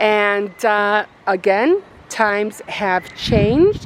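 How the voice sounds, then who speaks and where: Against noticeable background noise, a woman with an American accent talks in a fairly high pitch with lively intonation. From Chicago, US Midwest. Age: 60s. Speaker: craft and lifestyle vlogger. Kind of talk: casual vlog walking tour. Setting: outdoors in neighborhood. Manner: halting, casual with fillers.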